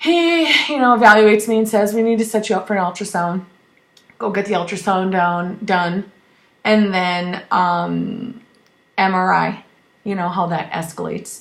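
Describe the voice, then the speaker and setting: A woman talks in an animated tone at a medium pitch with ordinary pitch variation. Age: 30s. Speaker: cancer survivor vlogger. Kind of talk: personal vlog update. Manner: fast.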